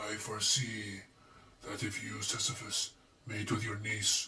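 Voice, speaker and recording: A man puts on a character voice that is raspy and fairly low in pitch. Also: moderate pace. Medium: read story.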